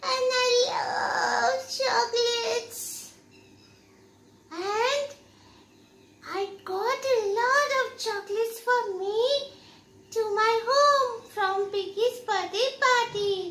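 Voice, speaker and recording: In a cartoonish character voice of extremely high pitch, the speaker goes at a very slow pace with long, frequent pauses. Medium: puppet.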